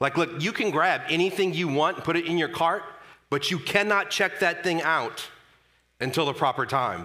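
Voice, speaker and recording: A man speaks loudly in a high pitch with ordinary pitch variation. His tone is animated, bright and sharp. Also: moderate pace. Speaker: pastor. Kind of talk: sermon. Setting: church.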